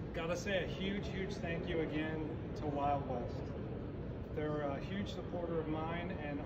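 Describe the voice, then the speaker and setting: A man speaks at a moderate pace while loud background noise fills the clip. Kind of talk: seminar talk to audience. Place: hall. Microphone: camera far.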